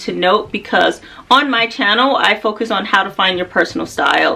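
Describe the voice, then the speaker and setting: A woman's fairly high voice with an American accent, fairly slow and with ordinary pitch variation, over noticeable background noise. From United States. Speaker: fashion and style vlogger. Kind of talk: casual vlog talk to camera.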